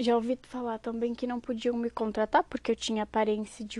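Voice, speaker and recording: A woman's voice, fairly high in pitch. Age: 20s. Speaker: podcast host. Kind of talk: casual monologue.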